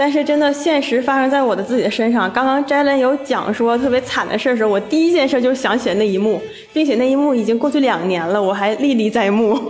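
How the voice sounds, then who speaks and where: Amid noticeable background noise and audible room echo, a high-pitched woman speaks at a very fast pace, her loudness very even and her pitch variation ordinary. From Shenyang, Liaoning, northeast China. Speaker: office worker. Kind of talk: casual chat.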